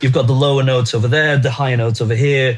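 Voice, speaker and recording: This is a man's voice, pitched in the middle range. There is noticeable noise in the background. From Brazil. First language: Portuguese. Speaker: musician. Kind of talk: casual interview chat. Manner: halting, many repeated words.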